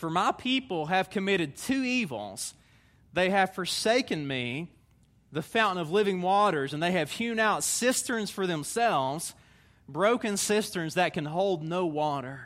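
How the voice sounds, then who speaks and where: A man with a Southern US accent, high-pitched for a man, at a fairly slow pace with lively intonation. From Tennessee, US South. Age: 30s. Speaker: visiting preacher. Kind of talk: sermon. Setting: church stage with audience.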